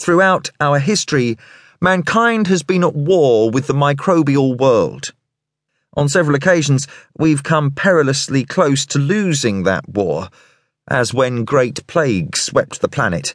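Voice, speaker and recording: In a British accent, the speaker uses a dramatic tone, lively intonation and very even loudness at a fairly slow pace, against a quiet background. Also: man, fairly high pitch for a man. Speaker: audiobook narrator. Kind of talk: audiobook narration of a thriller, reading prose aloud and voicing characters' dialogue. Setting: studio recording. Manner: dramatic, measured and suspenseful, shifting tone for each character; formal, polished, clear British delivery.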